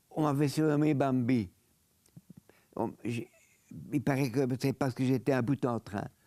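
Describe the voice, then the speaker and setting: A man speaks slowly at a medium pitch, his dark, mellow tone fairly even in intonation, with long, frequent pauses and a dry, close sound free of echo. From Belgium, Brussels. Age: 90s. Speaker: Holocaust survivor and lawyer. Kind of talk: interview testimony.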